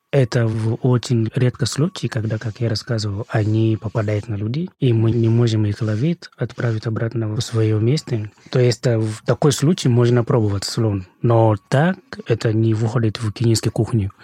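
A man with a medium pitch and a dark, mellow, somewhat breathy tone speaks at a moderate pace with fairly even intonation, the sound dry and close with no echo. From Kenya, Nakuru. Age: 30s. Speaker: podcast guest from Kenya. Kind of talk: casual chat.

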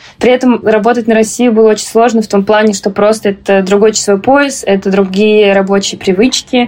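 With an unremarkable speaking voice, a woman talks at a moderate pace and fairly high pitch with fairly even intonation. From Moscow, Russia. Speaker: graduate student, podcast co-host. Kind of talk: casual chat.

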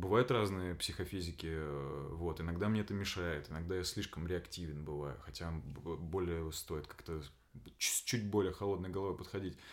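At a moderate pace, a man talks in a very deep, low pitch, with ordinary pitch variation. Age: 30s. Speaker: actor. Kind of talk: casual chat. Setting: home room recording with friend.

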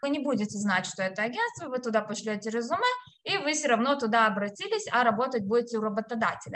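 Talking very fast over noticeable background noise, a woman speaks in a high voice. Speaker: HR specialist and career consultant. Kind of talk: interview, career advice.

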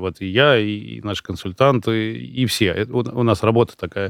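This man's pitch varies in an ordinary way, and his pace is moderate. The background is silent on a very clean recording. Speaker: coach and consultant, founder of a personal development program. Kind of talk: casual chat. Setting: studio. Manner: articulate, fluent storyteller.

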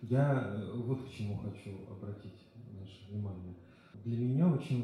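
The voice shows ordinary pitch variation, with audible room echo and noticeable background noise in the recording. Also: man. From Russia, small town. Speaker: literature teacher, audience member. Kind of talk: audience comment, personal story.

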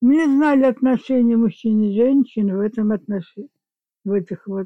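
A woman's dark, mellow voice at a fairly high pitch and fairly slow pace, with ordinary pitch variation, dry and close with no echo over a quiet background. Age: 80s+. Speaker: grandmother, guest. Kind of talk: casual chat, interview.

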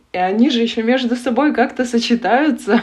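A woman's pitch varies in an ordinary way while noticeable noise sounds behind her. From Russian Far North (Yakutia). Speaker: analytical psychologist and tarot reader. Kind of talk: interview conversation.

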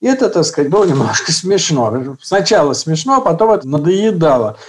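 A man's high-pitched voice with lively intonation. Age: 70s. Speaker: real-life prototype of a book character. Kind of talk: interview.

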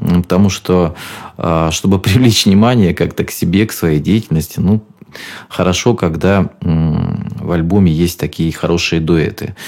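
Through noticeable background noise, a man with a very deep, low pitch speaks at a fairly slow pace with ordinary pitch variation and very even loudness. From Rostov region, southern Russia. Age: 40s. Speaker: radio host and singer. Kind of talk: radio show monologue. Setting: radio studio.

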